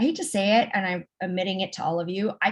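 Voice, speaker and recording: Speaking at a very fast pace with an American accent, a woman uses a somewhat breathy voice of medium pitch. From Los Angeles, US. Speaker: tech program director. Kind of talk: interview. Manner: hesitant, many fillers.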